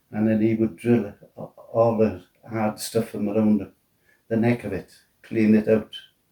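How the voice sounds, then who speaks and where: A man with a Welsh accent, fairly low-pitched, at a fairly slow pace in a monotone, flat delivery. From Wales. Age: 90s. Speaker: retired steelworker and military veteran. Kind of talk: interview answer. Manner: hesitant.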